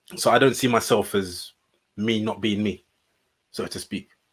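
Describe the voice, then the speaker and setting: Fairly low male voice, intonation fairly even. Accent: British. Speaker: podcast co-host. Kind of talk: casual chat. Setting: studio. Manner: well spoken.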